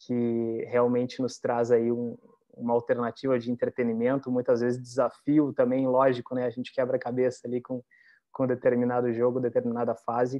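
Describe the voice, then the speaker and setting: Monotone, flat speech from a man, moderate in pace. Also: medium pitch for a man. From Porto Alegre, southern Brazil. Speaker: psychologist and tech recruiter. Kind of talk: webinar self-introduction.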